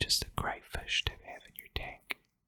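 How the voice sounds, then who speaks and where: Whispering at a very slow pace. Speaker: aquarium hobbyist. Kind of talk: ASMR whisper. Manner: whispered, soft-spoken.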